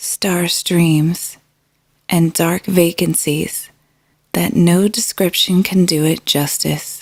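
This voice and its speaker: In a calm tone, a woman speaks very slowly at a fairly low pitch with fairly even intonation. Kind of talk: sleep story. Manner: calm, slow.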